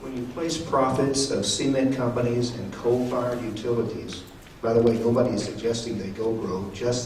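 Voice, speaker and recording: With an American accent and a medium pitch, a man talks at a moderate pace amid noticeable background noise and audible room echo. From Texas. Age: 60s. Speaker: member of the public at hearing. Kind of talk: public comment testimony. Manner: impassioned.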